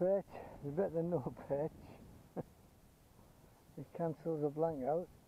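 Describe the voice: A man at a slow pace, fairly high in pitch, with ordinary pitch variation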